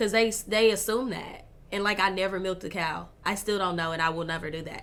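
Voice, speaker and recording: A woman at medium pitch talks at a fairly quick pace with fairly even intonation, and audible room echo surrounds her. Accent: Southern Arkansas. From US South, Pine Bluff, Arkansas. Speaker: entrepreneur. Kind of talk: casual chat.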